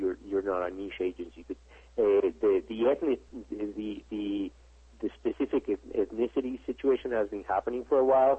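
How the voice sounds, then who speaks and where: A man talks with a Spanish accent. His pace is moderate. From Mexico. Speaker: advertising executive. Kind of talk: interview. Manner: halting, many repetitions and fillers.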